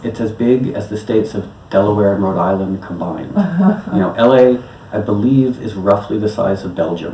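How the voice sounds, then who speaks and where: A man's fairly low voice with a New York accent, ordinary pitch variation and noticeable background noise. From New York City. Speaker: electronic musician. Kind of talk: interview answer.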